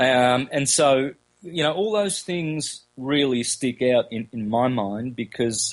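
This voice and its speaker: A man speaks with an Australian accent. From Australia, country Victoria. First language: Calabrian Italian dialect. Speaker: esoteric lecturer. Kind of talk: interview. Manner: halting, many fillers.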